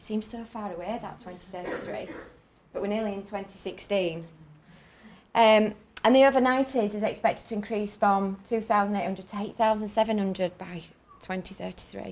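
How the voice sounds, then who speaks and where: A woman speaks at a fairly quick pace in a northern English accent. Her intonation is fairly even, with big swings in loudness. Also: medium pitch for a woman. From northern England. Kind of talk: conference talk. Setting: conference stage with audience. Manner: fast.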